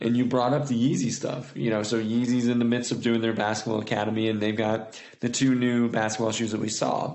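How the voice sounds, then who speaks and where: With an American accent, a man speaks at a fairly quick pace and a medium pitch, with hardly any pauses. His intonation is monotone and flat, his loudness very even, and room echo is audible. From Indiana, US Midwest. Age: 30s. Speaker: footwear designer. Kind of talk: casual chat.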